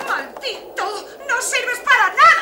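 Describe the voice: In a put-on character voice, a woman speaks slowly at an extremely high pitch with big pitch swings and a bright, sharp tone over faint background noise.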